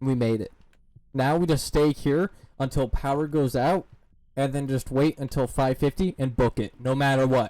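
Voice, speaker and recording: This man's voice is fairly high, with a dark, mellow tone. He speaks at a moderate pace and fairly even intonation, the sound dry and close with no echo. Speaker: gaming streamer. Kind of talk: live stream commentary with chat. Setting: live stream. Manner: loud.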